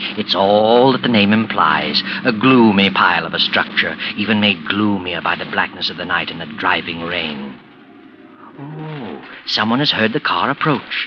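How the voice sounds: A man puts on a character voice, fairly low in pitch, with lively intonation at a moderate pace. Hissing runs through the clip.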